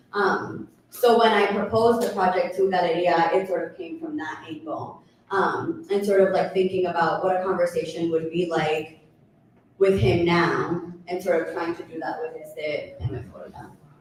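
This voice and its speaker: A woman's fairly low voice with an American accent, moderate pace, ordinary pitch variation and big swings in loudness, plus noticeable background noise and audible room echo. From United States, Colombian family. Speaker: artist. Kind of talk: panel conversation.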